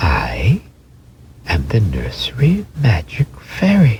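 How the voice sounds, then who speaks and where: A man's put-on character voice at medium pitch and a very slow pace. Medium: read story. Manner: gentle, tender.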